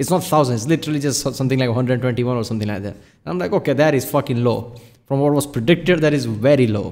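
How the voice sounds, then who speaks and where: A man races along at a very fast pace, with big swings in loudness and ordinary pitch variation. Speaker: reaction video host. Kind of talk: casual commentary. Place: home room.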